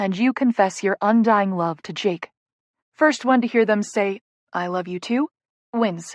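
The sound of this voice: Ordinary pitch movement in an unforced reading voice, the background quiet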